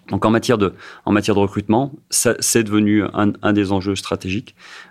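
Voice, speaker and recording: The recording is very clean and the background silent. A man talks fairly quickly. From France, Saint-Étienne. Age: 50s. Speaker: company president. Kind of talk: radio interview. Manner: halting, many repetitions and fillers.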